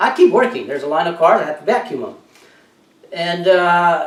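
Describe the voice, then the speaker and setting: High-pitched male speech amid noticeable background noise and audible room echo. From Mexico. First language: Spanish. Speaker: entrepreneur and motivational vlogger. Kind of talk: motivational talk with personal story. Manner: halting with many fillers.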